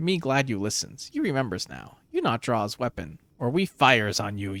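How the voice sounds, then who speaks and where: A man puts on a character voice at a medium pitch. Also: moderate pace. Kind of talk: broken grammar. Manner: broken speech.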